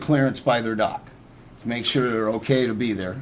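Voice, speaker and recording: A man talks with ordinary pitch variation. Room echo is audible. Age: 60s. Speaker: personal trainer. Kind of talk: talk show interview.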